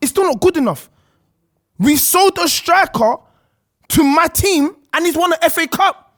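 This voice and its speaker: Delivered in a London accent, the speech has an animated tone, a moderate pace, and long, frequent pauses. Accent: London, multicultural London English. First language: not English (Congolese background). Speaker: football podcast panelist. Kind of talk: heated debate. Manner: animated, interrupting.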